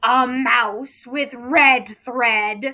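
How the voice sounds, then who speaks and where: A woman puts on a character voice with a high pitch and fairly even intonation. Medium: read story. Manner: grandiose, refers to himself in the third person.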